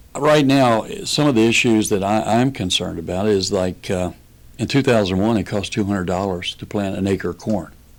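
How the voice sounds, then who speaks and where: With a Kentucky accent, a man speaks at a fairly low pitch. His pace is moderate and his pitch variation ordinary. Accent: Kentucky Southern US. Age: 60s. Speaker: political candidate and farmer. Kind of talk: radio interview.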